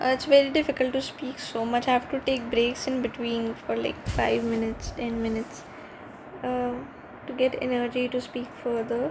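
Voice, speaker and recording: A woman's high-pitched voice in a flat monotone over noticeable background noise. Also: moderate pace. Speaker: exam aspirant reviewing newspaper. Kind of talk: reading aloud with commentary. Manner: halting.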